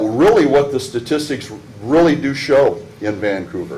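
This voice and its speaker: With an American accent, a man talks at a fairly slow pace and ordinary pitch variation, with audible room echo and noticeable background noise. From Pacific Northwest US, Washington state. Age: 60s. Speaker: public commenter, military veteran. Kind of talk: public comment at council meeting. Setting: city council meeting. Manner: halting.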